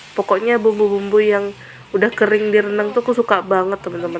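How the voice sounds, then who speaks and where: Over noticeable background noise, a woman speaks. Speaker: cooking vlogger. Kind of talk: cooking vlog. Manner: casual, chatty.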